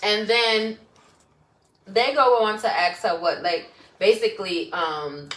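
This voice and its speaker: A woman in a Brooklyn accent with lively intonation, a very slow pace and long, frequent pauses. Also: fairly high pitch for a woman. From Brooklyn, New York. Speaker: podcast co-host. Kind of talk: casual chat.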